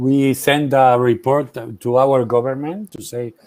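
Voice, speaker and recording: A man talks with a Spanish accent. His tone is dark and mellow. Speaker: journalist and memory activist. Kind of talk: Q&A after a keynote talk. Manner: halting, many fillers.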